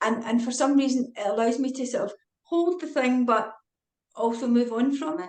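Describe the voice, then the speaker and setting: In a Scottish accent, a woman talks fairly quickly at a high pitch, with ordinary pitch variation and long, frequent pauses. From Scotland. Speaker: retired forensic psychiatrist and author. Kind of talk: casual interview chat. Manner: fast.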